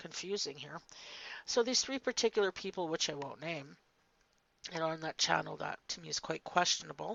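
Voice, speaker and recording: Speaking at a moderate pace, a woman uses a fairly low pitch with vocal fry and ordinary pitch variation. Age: 50s. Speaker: faceless commentary YouTuber. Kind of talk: casual monologue vlog. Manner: hesitant, with fillers and restarts.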